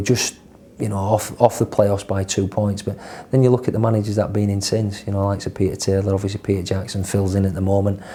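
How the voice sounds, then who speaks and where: Delivered at a very fast pace in a Yorkshire accent, the speech has a flat, monotone intonation. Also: man. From northern England, Leeds. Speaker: football manager. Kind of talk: interview. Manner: halting, repeats words.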